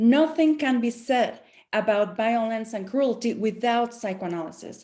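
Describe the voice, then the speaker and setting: A woman's fairly high voice with a dark, mellow tone and a non-native accent, at a moderate pace with ordinary pitch variation. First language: not English. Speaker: professor. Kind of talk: panel presentation. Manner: halting.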